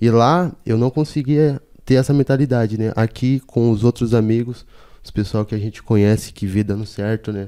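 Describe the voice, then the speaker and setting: Speaking at a moderate pace, a man uses a medium pitch with ordinary pitch variation and a dark, mellow tone. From Salvador, Bahia. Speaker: illustrator and graffiti artist. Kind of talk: casual chat.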